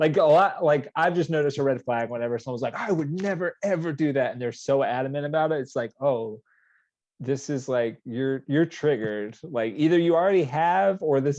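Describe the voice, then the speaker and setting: A man with an American accent speaks at a fairly quick pace, in an unremarkable speaking voice. His pitch is fairly high with ordinary variation, and the background is quiet. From US South, Georgia. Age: 30s. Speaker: podcast guest. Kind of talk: casual chat.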